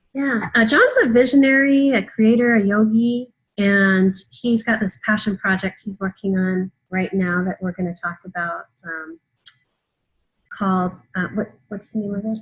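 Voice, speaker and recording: A woman speaks fairly slowly at a medium pitch. Her voice is somewhat breathy, with ordinary pitch variation. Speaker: podcast host. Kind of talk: interview questions, casual conversation.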